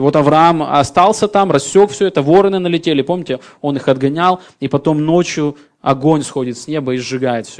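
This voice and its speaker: A man's unremarkable speaking voice at a fairly quick pace, fairly high in pitch, with ordinary pitch variation and big swings in loudness. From former Soviet Union. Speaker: pastor. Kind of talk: sermon.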